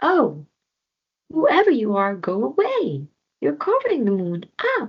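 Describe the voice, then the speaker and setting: This female-sounding voice is a put-on character voice. It sits at a fairly high pitch and moves at a moderate pace. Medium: read story.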